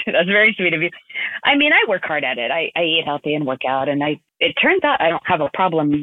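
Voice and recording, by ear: A woman's low-pitched voice with an American accent at a fairly quick pace, dry and close with no echo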